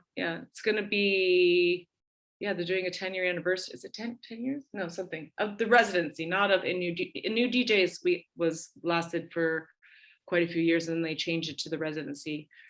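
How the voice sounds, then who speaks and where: A woman with a North American accent speaks at a fairly quick pace with a fairly low pitch and ordinary pitch variation. Her tone is animated, with big swings in loudness. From Canada. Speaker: DJ and radio host. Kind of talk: casual interview. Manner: animated, many fillers and restarts.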